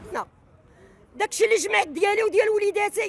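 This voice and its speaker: Dry sound with no echo carries a woman's extremely high-pitched voice. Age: 60s. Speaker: protester, property buyer. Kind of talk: street interview testimony, appeal to the king. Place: street. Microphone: handheld.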